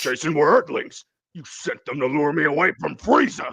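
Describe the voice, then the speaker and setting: Using a cartoonish character voice, a man growls at a fairly high pitch and a moderate pace. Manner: crude, mocking.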